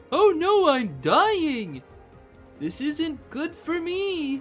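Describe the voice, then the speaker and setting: A high-pitched, put-on character voice speaks at a very slow pace. Clear music plays in the background. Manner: whining, complaining.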